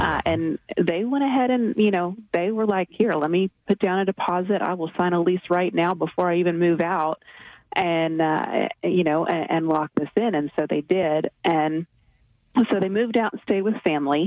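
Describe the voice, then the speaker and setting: This woman has an unremarkable speaking voice, fairly low in pitch, with ordinary pitch variation. She keeps a moderate pace, and the sound is dry and close with no echo. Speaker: real estate investor. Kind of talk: interview answers, personal story. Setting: radio show interview. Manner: conversational, measured, with fillers.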